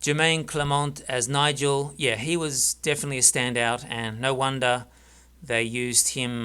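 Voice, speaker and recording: With an Australian accent, a man talks fairly slowly at medium pitch in a bright, sharp tone and fairly even intonation, on a very clean recording with a silent background. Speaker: film reviewer. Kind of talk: casual monologue review. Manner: halting, many fillers.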